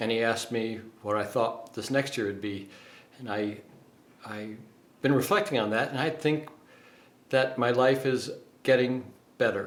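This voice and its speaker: With ordinary pitch variation, a man at medium pitch speaks at a moderate pace. Long, frequent pauses break up his speech amid audible room echo. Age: 60s. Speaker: dating coach. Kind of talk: casual vlog monologue. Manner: halting, many fillers.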